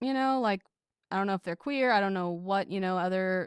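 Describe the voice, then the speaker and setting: A woman's voice at medium pitch with ordinary pitch variation, a dry, close sound with no echo, and a very clean recording with a silent background. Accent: American. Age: late 20s. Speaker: podcast editor appearing as guest. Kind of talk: casual chat.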